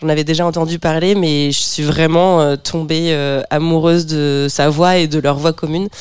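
A woman talks at a moderate pace with hardly any pauses, her pitch very deep and low. Her intonation is monotone and flat, over noticeable background noise. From Normandy, France (Bernay). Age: 30s. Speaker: stand-up comedian. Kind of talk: casual chat.

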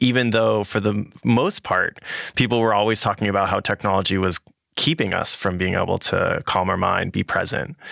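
Speaking with an American accent at a fairly quick pace, a man with a fairly low pitch, ordinary pitch variation and very even loudness is heard in a dry, close sound with no echo and a very clean recording with a silent background. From California. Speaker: podcast host. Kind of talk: interview and scripted narration. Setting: studio.

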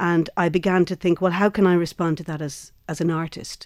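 In a very clean recording with a silent background, a woman with an Irish accent speaks at a moderate pace and fairly low pitch, her intonation flat and monotone. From Ireland. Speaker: actor and theatre maker. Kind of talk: interview.

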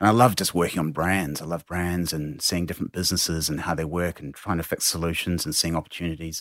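Very fast, fairly even speech from a man with a very deep, low pitch, hardly any pauses, on a very clean recording with a silent background. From New Zealand. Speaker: drinks company founder. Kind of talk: interview. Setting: studio.

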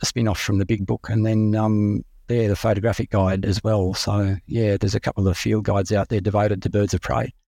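A man speaks with an Australian accent, fairly quickly and with fairly even intonation. His voice is fairly low in pitch, with a dark, mellow tone. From Australia, Sydney and rural New South Wales. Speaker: raptor ecologist. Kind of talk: interview. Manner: halting, with many repeats and ums.

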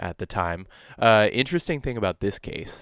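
An ordinary speaking voice at a moderate pace. The sound is dry and close with no echo, on a very clean recording with a silent background. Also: man. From New Brunswick, French Canada. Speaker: podcast co-host. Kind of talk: casual chat.

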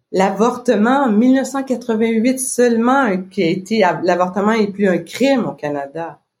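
A woman's fairly high voice, lively in intonation, very slow in pace, with hardly any pauses. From Quebec. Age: 50s. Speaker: business owner. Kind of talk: casual interview.

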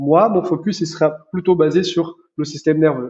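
A man with a high pitch. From Brazil. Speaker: chiropractor. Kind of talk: interview conversation.

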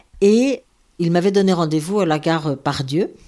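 On a very clean recording with a silent background, a woman speaks at a fairly slow pace, her fairly low voice dark and mellow. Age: 70s. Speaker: former nun. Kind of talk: personal testimony. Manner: hesitant, with fillers and repetitions.

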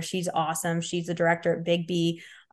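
Against a quiet background, a woman with a strong Chicago accent speaks at a fairly low pitch. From Chicago, Illinois. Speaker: hockey player advisor and business owner. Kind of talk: casual interview chat.

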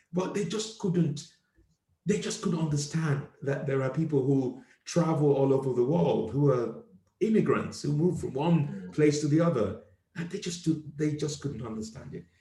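This man has a fairly high pitch, a dark, mellow tone, vocal fry and lively intonation, speaking at a moderate pace. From Nigeria. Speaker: comedian and podcast host. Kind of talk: casual chat. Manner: animated.

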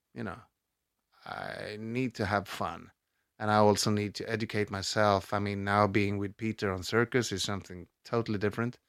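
Speaking in a Swedish accent, the voice keeps a moderate pace with monotone, flat intonation. The recording is very clean, with a silent background. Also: man, fairly low pitch for a man. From Sweden, Stockholm. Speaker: actor. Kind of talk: interview.

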